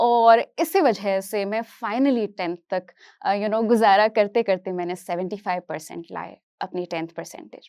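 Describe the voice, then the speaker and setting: A woman's normal speaking voice, medium in pitch with ordinary pitch variation, in a very clean recording with a silent background. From Kashmir, raised partly in Hyderabad from age 8. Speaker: psychology teacher. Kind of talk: motivational talk.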